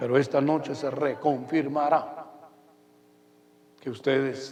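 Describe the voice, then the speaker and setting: Audible room echo surrounds a man whose fairly high pitch carries a monotone, flat intonation. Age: 70s. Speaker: pastor. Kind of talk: sermon.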